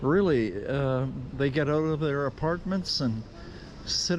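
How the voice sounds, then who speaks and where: A man speaks with a Canadian accent. Background noise is noticeable. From Canada. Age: 70s. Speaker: travel vlogger, cycle tourist. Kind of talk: travel vlog narration. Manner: casual, halting with fillers.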